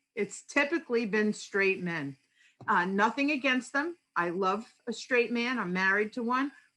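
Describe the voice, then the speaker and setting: Her tone bright and sharp, a woman talks at a fairly slow pace with fairly high pitch and lively intonation. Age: 60s. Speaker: audience member at a panel. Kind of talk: audience comment in an online panel discussion.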